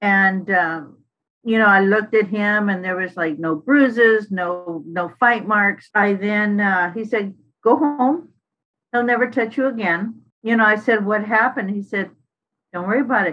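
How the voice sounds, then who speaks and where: Using a normal speaking voice, a woman speaks at a moderate pace and medium pitch with ordinary pitch variation. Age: 60s. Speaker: formerly incarcerated advocate. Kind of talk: testimony. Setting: podcast.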